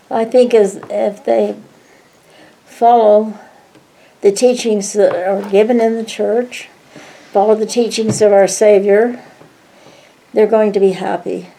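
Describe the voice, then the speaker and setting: A woman speaks at a fairly slow pace with long, frequent pauses, her fairly high pitch held in a monotone, flat intonation. Noticeable background noise runs underneath. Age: 90s. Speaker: grandmother interviewed by family. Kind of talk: family interview.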